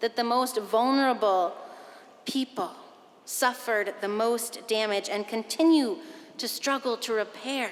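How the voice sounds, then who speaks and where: The woman's voice is high-pitched, with ordinary pitch variation at a fairly slow pace. Noticeable background noise can be heard. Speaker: pastor. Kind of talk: sermon to a congregation.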